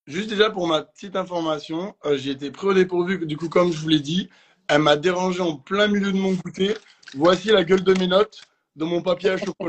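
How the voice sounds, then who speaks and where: A high-pitched man at a fairly quick pace, with fairly even intonation. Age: young. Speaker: swimming instructor. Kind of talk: live online debate.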